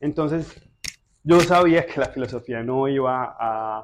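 A man speaks with a paisa accent. The background is quiet. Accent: paisa Colombian Spanish. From Colombia, Medellín (Moravia neighbourhood). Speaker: philosopher and personal trainer. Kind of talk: casual interview.

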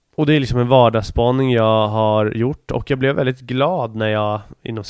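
This man talks at a fairly quick pace in a normal speaking voice, medium in pitch with fairly even intonation. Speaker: podcast host. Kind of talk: casual monologue.

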